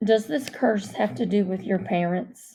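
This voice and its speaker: A quiet, put-on character voice from a woman, medium in pitch, with ordinary pitch variation at a moderate pace. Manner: gentle, concerned.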